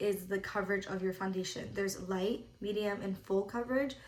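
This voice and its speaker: A woman speaks at a medium pitch and a fairly quick pace, with ordinary pitch variation and audible echo in the room. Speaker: makeup artist. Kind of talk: tutorial. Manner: casual, filler-heavy.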